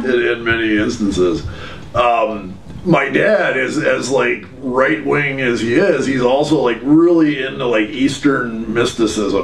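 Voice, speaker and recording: Noticeable background noise is present. Over it, a man talks fairly slowly. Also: medium pitch for a man, ordinary pitch variation. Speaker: former extremist turned speaker. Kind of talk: interview answer.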